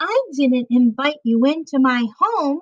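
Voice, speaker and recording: A woman uses a put-on character voice, high-pitched and squeaky. She talks at a fairly slow pace. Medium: read story.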